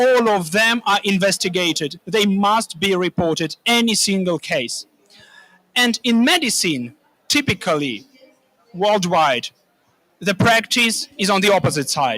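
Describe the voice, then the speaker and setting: A man projects a raised voice at a high pitch, his tone bright and sharp. He keeps a fairly slow pace and very even loudness. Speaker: land restoration expert. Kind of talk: panel discussion. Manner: hesitant, with filler sounds.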